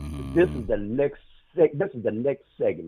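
A man is talking. He moves at a fairly quick pace. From South Carolina. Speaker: caller. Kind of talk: call-in chat.

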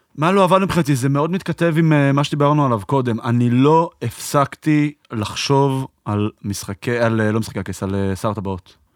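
A man's unremarkable speaking voice at medium pitch, with lively intonation, a moderate pace and hardly any pauses, in a dry, close sound with no echo. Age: 30s. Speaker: podcast host. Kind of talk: casual chat.

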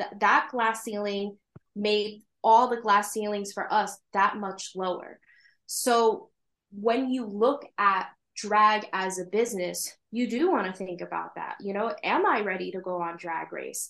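A woman's ordinary speaking voice with an American accent, medium pitch, fairly even intonation and a fairly slow pace against a quiet background. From New York State. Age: 30s. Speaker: drag king and business administrator. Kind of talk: casual interview chat.

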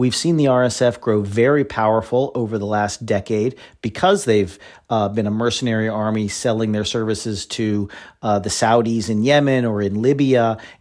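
An unremarkable speaking voice from a man, medium in pitch, at a moderate pace against a quiet background. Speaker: foreign policy analyst. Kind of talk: interview.

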